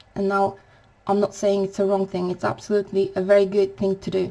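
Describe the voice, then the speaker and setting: With a non-native accent, a woman talks at a medium pitch. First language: not English. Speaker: spiritual vlogger. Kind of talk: spiritual talk to camera. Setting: home recording at night. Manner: quiet, to avoid waking neighbours; halting.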